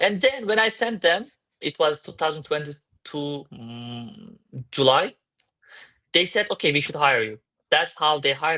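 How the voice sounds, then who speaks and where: A man with a Turkish accent, fairly high-pitched, at a fairly slow pace with long, frequent pauses, lively intonation, a bright, sharp tone, big swings in loudness, and a quiet background. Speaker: crypto startup founder. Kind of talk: interview. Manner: halting.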